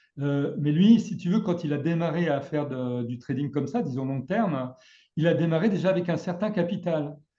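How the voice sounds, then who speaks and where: At a moderate pace, a man speaks in a dark, mellow tone, his fairly high pitch showing ordinary variation. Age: 60s. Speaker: trading trainer. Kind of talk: casual chat. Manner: halting.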